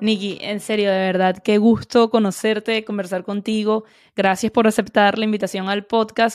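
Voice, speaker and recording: A woman speaks at a fairly high pitch and a moderate pace in a monotone, flat intonation. The recording is very clean, with a silent background. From Venezuela. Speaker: podcast host. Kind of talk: interview.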